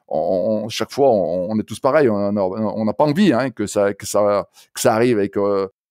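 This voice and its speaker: A man with a Saint-Étienne accent speaks at a medium pitch with a dark, mellow tone and ordinary pitch variation. The recording is very clean with a silent background and a dry, close sound with no echo. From France, Saint-Étienne. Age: 60s. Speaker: running coach. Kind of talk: interview. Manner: halting, many hesitations and repetitions.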